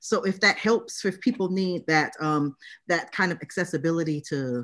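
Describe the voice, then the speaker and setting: Against a quiet background, the speaker goes at a fairly quick pace. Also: woman. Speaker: literacy studies professor. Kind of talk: academic talk reading from notes. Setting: video call. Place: home room. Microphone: video call.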